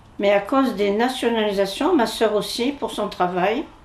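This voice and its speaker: Over noticeable background noise, a woman speaks at a fairly slow pace in a fairly high voice with ordinary pitch variation. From Algeria (Algiers, Bab El Oued). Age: 80s+. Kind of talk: interview testimony. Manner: halting.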